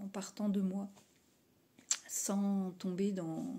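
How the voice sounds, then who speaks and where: A woman's medium-pitched, somewhat breathy voice with a dark, mellow tone. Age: 50s. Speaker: aspiring coach. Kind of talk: testimonial.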